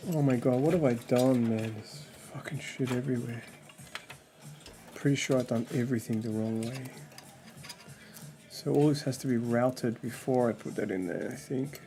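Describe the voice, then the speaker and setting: Over music in the background, a man speaks at a medium pitch and a moderate pace, leaving long, frequent pauses. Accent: Australian. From Australia. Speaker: gaming streamer. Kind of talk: casual live stream chat. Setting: live stream at home. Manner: animated.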